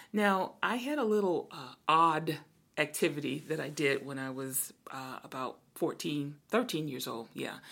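With an American accent and a very deep, low pitch, a woman speaks at a fairly slow pace with lively intonation and big swings in loudness, in a very clean recording with a silent background. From Brooklyn, New York. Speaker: podcast co-host, church minister. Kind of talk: casual chat.

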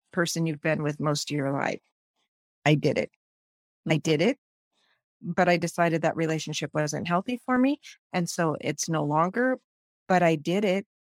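A woman's fairly low voice at a moderate pace with ordinary pitch variation, dry and close with no echo, in a very clean recording with a silent background. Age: 50s. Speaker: podcast guest in a support group discussion. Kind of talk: casual group conversation.

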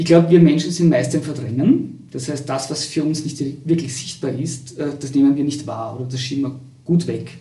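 Vocal fry at a moderate pace, with fairly even intonation, big swings in loudness and audible room echo. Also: man, fairly high pitch for a man. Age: 50s. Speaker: university lecturer. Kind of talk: interview. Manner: halting.

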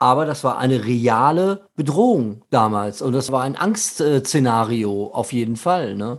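The speech moves at a fairly slow pace with hardly any pauses and lively intonation, in a normal speaking voice. The recording is very clean, with a silent background. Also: man, medium pitch for a man. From Germany, Ruhr area (Gelsenkirchen). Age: 50s. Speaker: podcast host. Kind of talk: casual chat.

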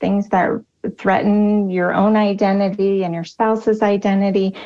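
An ordinary speaking voice moves at a fairly slow pace. The background is quiet. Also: woman. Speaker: speaker and personal coach. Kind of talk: casual interview chat.

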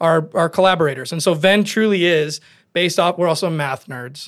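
In a very clean recording with a silent background, a man with an Upper Midwest accent speaks at a high pitch. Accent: Upper Midwest (Minnesota). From southern Minnesota, rural. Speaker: construction company owner. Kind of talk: interview conversation. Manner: energetic.

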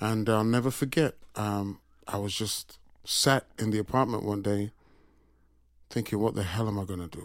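In a Yorkshire accent, a man with a fairly low pitch speaks at a moderate pace with fairly even intonation and long, frequent pauses, on a very clean recording with a silent background. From Sheffield, England. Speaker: session drummer. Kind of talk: interview conversation. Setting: studio.

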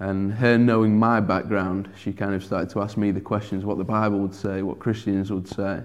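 Monotone, flat intonation in a Sheffield accent, at a moderate pace with hardly any pauses. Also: man, fairly low pitch for a man. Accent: broad English (Sheffield). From Sheffield, northern England. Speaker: churchgoer sharing conversion story. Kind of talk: testimony. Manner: hesitant, many fillers.

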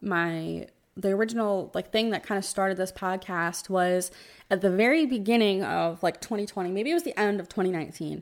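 A woman with an unremarkable speaking voice, medium pitch, ordinary pitch variation and a moderate pace. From New Jersey. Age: 20s. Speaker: podcast co-host with chronic illness. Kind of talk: casual chat.

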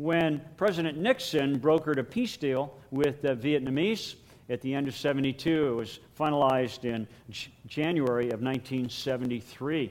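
Fairly slow in pace, a man talks with a fairly high pitch. He has an unremarkable speaking voice and ordinary pitch variation. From United States. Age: 60s. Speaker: pastor. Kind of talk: sermon. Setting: church.

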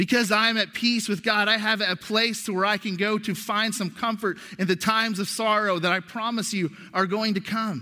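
Raised and projected, a man's high-pitched voice with a bright, sharp tone moves at a moderate pace with hardly any pauses and fairly even intonation, over a very clean recording with a silent background. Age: 40s. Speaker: pastor. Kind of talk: sermon. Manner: halting.

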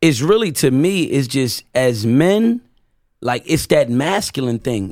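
Man at a fairly high pitch with very wide pitch swings, on a very clean recording with a silent background. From Camden, New Jersey, Puerto Rican family. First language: Spanish (bilingual). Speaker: rapper and guest. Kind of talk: casual chat.

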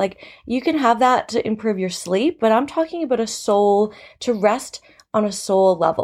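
With a Canadian accent and a normal speaking voice, a woman talks at a moderate pace, her fairly high pitch carrying lively intonation. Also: very clean recording, silent background. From Canada. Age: 30s. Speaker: podcast host and teacher. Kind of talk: casual solo podcast talk.

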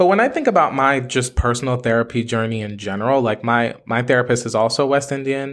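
Talking at a very fast pace with hardly any pauses, a man uses ordinary pitch variation. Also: medium pitch for a man. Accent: American. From Haitian family, US. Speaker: podcast host. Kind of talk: interview.

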